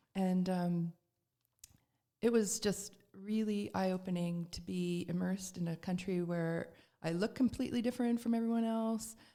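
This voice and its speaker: At a moderate pace, a woman speaks with a Canadian accent. Her tone is dark and mellow, her intonation fairly even. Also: medium pitch for a woman. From Canada, Toronto. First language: Serbian. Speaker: spiritual practitioner. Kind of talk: podcast interview.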